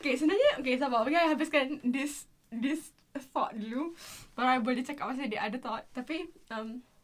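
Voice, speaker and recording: A woman talks at a very fast pace in a Malaysian accent. Her voice is high-pitched with ordinary pitch variation. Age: 20s. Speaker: vlogger. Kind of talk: casual vlog monologue, code-switching Malay and English.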